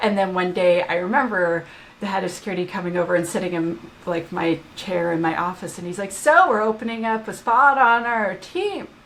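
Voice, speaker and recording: The speaker's tone is animated, with ordinary pitch variation and a fairly quick pace. Noticeable background noise is present. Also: woman, medium pitch for a woman. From Canada. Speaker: application security expert and author. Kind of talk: podcast interview.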